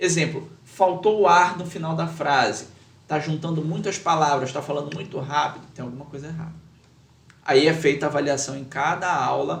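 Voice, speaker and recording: A man's fairly high voice with fairly even intonation, big swings in loudness, and audible room echo. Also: moderate pace. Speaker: lawyer and public speaking teacher. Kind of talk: podcast interview. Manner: measured with many pauses.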